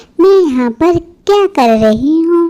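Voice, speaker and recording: A woman's cartoonish character voice at a very slow pace. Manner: sharp, scolding.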